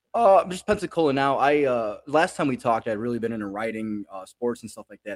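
Recorded dry and close with no echo, a man with an ordinary speaking voice and an American accent talks at a fairly quick pace and a medium pitch. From Chicago. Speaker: comedian. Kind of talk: casual chat.

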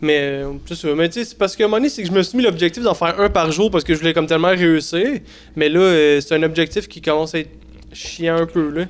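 Against noticeable background noise, a man with a high voice talks at a fairly quick pace with ordinary pitch variation. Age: 30s. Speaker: TikTok creator, podcast co-host. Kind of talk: casual chat. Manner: halting.

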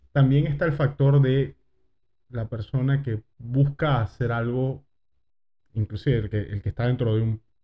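Speaking at a fairly slow pace with long, frequent pauses, a man with a medium pitch and ordinary pitch variation sounds somewhat breathy. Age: 30s. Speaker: podcast host. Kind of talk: casual chat.

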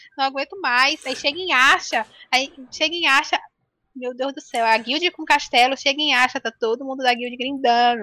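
A woman's raised, projected voice, high in pitch with a bright, sharp tone and ordinary pitch variation, comes through with a dry, close sound and no echo. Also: moderate pace. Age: 20s. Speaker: game streamer and architecture student. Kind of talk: casual chat. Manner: nervous, shaky.

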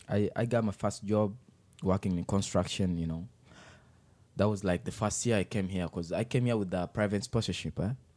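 Speaking at a fairly quick pace with an African accent, a man has a fairly low pitch, a dark, mellow tone and fairly even intonation. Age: 20s. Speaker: youth worker and public speaker. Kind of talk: casual interview. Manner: charismatic.

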